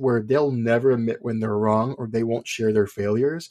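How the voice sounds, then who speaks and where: This is a plain, everyday voice. It carries an American accent. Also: man. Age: 30s. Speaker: podcast host. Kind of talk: podcast interview.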